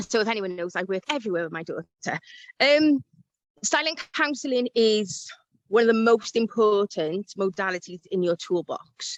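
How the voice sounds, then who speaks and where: A woman with a Welsh accent speaks at a moderate pace with lively intonation and a fairly high pitch. The sound is dry and close, with no echo. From South Wales. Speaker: life coach. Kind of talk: interview.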